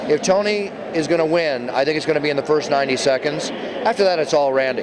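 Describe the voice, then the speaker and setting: Very even in loudness, a man talks at a very fast pace with a fairly high pitch and ordinary pitch variation, noticeable background noise behind him. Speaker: ring announcer. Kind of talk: interview answer.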